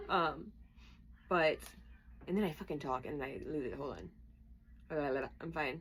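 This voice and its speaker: A woman talks with vocal fry in a very deep, low voice and ordinary pitch variation. Her speech is broken by long, frequent pauses. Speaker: tarot reader. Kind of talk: tarot reading. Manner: fast; casual and chatty.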